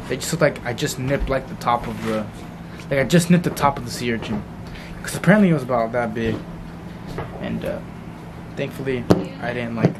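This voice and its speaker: Noticeable background noise under a man's voice. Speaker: vlogger. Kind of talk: casual vlog chat. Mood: relieved, animated. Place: home room. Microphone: phone near.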